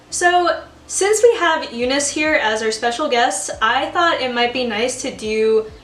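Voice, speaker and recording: A woman with a high pitch speaks at a fairly slow pace, with ordinary pitch variation. There is audible room echo and noticeable background noise. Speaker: amateur baker and video host. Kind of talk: casual chat. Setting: home kitchen, video call with guest.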